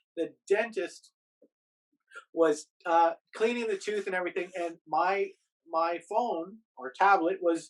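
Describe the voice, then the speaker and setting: A man talks loudly with high pitch. His pace is fairly slow. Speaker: YouTuber and podcaster living in Japan. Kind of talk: casual podcast interview.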